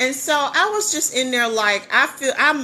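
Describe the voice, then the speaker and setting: With an animated, bright and sharp tone, a woman speaks in lively intonation. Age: 50s. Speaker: business coach and livestreamer. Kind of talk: casual livestream storytelling. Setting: live stream.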